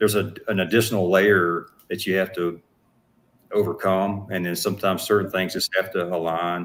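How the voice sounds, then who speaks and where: In a Southern US accent, a man speaks at a moderate pace with a very deep, low pitch and fairly even intonation, on a very clean recording with a silent background. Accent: Southern twang. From US South, Atlanta Georgia. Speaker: actor and business owner. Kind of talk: interview. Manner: halting.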